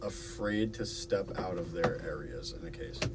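A man talks at a fairly slow pace, with audible room echo and noticeable background noise around him. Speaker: student podcast host. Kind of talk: casual chat.

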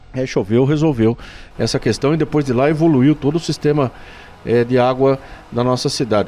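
Over noticeable background noise, a man with a medium pitch talks at a moderate pace with long, frequent pauses, very even loudness and fairly even intonation. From Brazil, Indaiatuba (São Paulo state). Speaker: mayor. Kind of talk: radio interview. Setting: radio studio.

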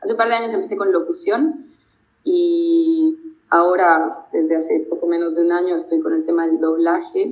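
A woman's moderate pace and very even loudness. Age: 30s. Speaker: advertising creative and voice-over artist. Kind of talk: interview.

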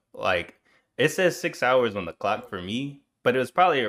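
A man talks in a fairly high voice with vocal fry. His pitch swings very widely. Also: very clean recording, silent background. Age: 20s. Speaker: video game podcast co-host. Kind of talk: casual chat.

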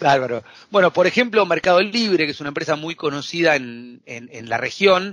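A man talks at a fairly quick pace and fairly high pitch in an ordinary speaking voice. His intonation is lively, with big swings in loudness. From Argentina. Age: 40s. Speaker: accountant and fintech consultant. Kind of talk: interview.

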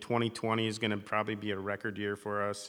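Speaking at a moderate pace, a man with an American accent has a bright, sharp tone. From northern Michigan, US. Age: 40s. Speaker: entrepreneur in landscape architecture. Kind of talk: personal storytelling talk.

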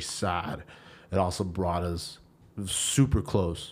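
Speaking at a very slow pace, a man keeps his intonation fairly even. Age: 20s. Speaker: podcast co-host. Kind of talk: casual chat.

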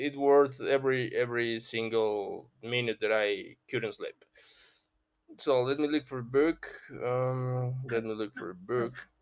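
A man talks at a fairly slow pace in a Spanish accent. His pitch is medium and his intonation fairly even. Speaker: podcast host running an English reading club. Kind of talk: casual chat.

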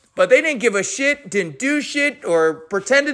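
A man speaks in a raised, projected voice with a bright, sharp tone and very wide pitch swings. His pace is moderate, and the recording is very clean with a silent background. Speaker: veteran podcaster. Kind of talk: angry rant. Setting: home with dog barking. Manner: loud, profane, aggressive; heated, repetitive, stumbling over words.

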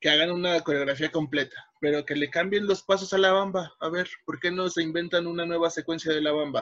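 Speaking with high pitch and fairly even intonation, a man keeps a moderate pace. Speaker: podcast co-host, folk dancer. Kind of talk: casual chat. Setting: home.

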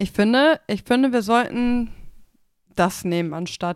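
Lively intonation at a fairly slow pace. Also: woman. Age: 20s. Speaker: podcast co-host. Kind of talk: casual chat.

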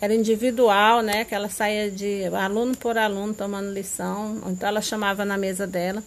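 Speaking at a moderate pace, a woman uses an ordinary speaking voice pitched in the middle range. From rural Brazil. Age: 50s. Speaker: mother recalling her schooldays. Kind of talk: interview.

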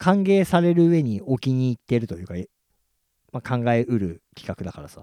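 At a moderate pace, a man speaks at a medium pitch in a dark, mellow tone, with very wide pitch swings, big swings in loudness and a dry, close sound with no echo. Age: 40s. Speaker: local podcast host and DJ. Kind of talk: casual chat. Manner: animated.

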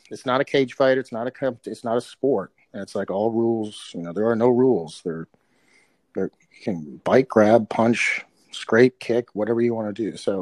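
A man with an Upper Midwest accent speaks at a moderate pace in a medium pitch, with ordinary pitch variation. His loudness swings widely. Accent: Upper Midwest American. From Minnesota, South Minneapolis. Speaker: tactical and martial arts trainer. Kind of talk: casual interview.

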